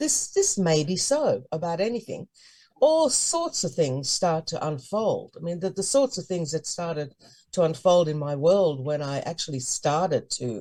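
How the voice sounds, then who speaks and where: A woman with a fairly low pitch and a dark, mellow, somewhat breathy tone talks at a moderate pace with lively intonation. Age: 70s. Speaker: high priestess. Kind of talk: interview.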